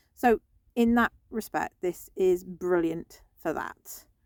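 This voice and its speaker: A woman talks in a relaxed tone with a British accent. The sound is dry and close, without any echo. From UK. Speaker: vlogger. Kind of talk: casual vlog talk. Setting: in a parked van in a car park. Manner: relaxed, lying down.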